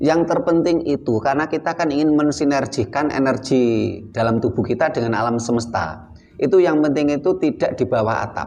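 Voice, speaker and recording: Someone with a Javanese accent speaks at a fairly quick pace with ordinary pitch variation over noticeable background noise. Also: man, fairly high pitch for a man. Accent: Javanese-accented Indonesian. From Java, Indonesia. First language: Javanese (speaking Indonesian). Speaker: spiritual teacher. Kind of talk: teaching talk.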